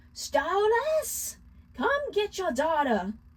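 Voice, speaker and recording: In a put-on character voice, a woman sounds shrill at an extremely high pitch, with very wide pitch swings. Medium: read story. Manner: scornful, bossy.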